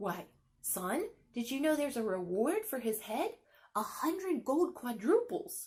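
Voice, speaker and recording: A woman puts on a gruff character voice, high in pitch. She talks at a moderate pace with very wide pitch swings. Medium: read story.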